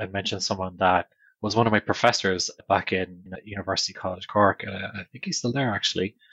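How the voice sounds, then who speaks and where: The voice carries an Irish accent and fairly even intonation. The sound is dry and close, with no echo. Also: man, quiet background. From Ireland. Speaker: technology leading practices director. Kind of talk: casual interview.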